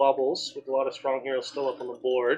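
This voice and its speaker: Talking at a fairly quick pace, a man with a plain, everyday voice has a fairly high pitch. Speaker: esports shoutcaster, co-caster. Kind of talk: live esports game commentary.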